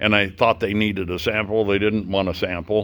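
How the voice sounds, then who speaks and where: His voice sits at a fairly low pitch as the man talks. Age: 60s. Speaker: biker vlogger. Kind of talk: casual monologue. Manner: halting.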